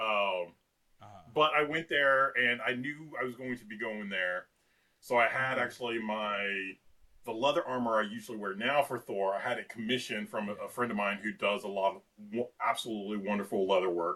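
A man speaks at a fairly quick pace in a plain, everyday voice, with medium pitch and ordinary pitch variation. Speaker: cosplayer. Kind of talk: casual chat.

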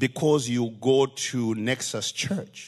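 A man with a Zimbabwean accent against a quiet background. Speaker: visiting preacher. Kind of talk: sermon. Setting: church.

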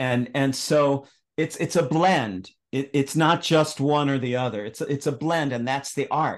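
This man has an unremarkable speaking voice, fairly high in pitch with ordinary pitch variation. He speaks at a fairly slow pace over a quiet background. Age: 60s. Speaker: astrologer and author. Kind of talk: casual interview conversation.

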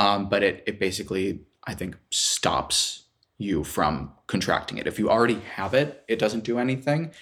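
Recorded very cleanly against a silent background, a man with an unremarkable speaking voice and a fairly low pitch talks at a moderate pace with lively intonation. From US Midwest, Chicago. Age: 20s. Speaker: graduate student. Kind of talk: casual chat.

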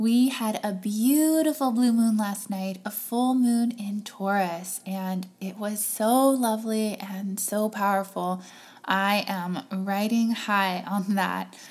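A somewhat breathy woman at a very slow pace, with hardly any pauses and ordinary pitch variation. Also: medium pitch for a woman. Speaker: podcast host. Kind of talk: scripted intro.

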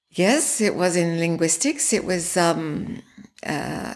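A woman with an Australian accent at a very slow pace, on a very clean recording with a silent background. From Australia, Sydney. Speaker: breathwork practitioner, former linguistics academic. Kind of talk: interview.

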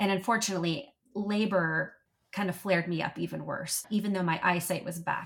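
Talking at a fairly quick pace, a woman with an unremarkable speaking voice keeps a medium pitch and fairly even intonation. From US, military family, moved around. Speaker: patient sharing illness experience. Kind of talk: interview conversation.

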